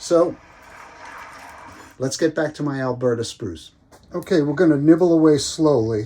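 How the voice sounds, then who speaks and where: Speaking at a moderate pace with long, frequent pauses, a man with a fairly high, dark, mellow voice uses ordinary pitch variation. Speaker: bonsai hobbyist YouTuber. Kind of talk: casual tutorial. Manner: hesitant, many fillers.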